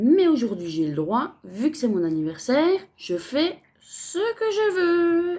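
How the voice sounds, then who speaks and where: A woman with a dark, mellow tone speaks at a very slow pace, her pitch swinging very widely. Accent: Franc-Comtois. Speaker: crafts vlogger. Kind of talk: casual unboxing vlog. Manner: chatty, many fillers.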